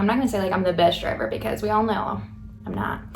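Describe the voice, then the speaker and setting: A woman at medium pitch with ordinary pitch variation, music in the background. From Coolidge, Arizona. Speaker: farmer. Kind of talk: casual talk to camera. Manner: fast, rambling.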